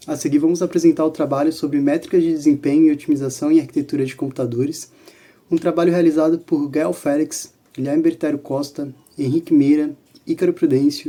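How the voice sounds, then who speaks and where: At a fairly quick pace, a man with a dark, mellow tone and fairly high pitch speaks in a monotone, flat way. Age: 20s. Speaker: student presenter. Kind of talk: student presentation.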